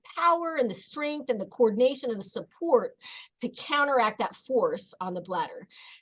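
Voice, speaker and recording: Raised and projected, a woman's high-pitched voice has a bright, sharp tone and very wide pitch swings. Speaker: pelvic floor physical therapist. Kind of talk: webinar presentation with slides.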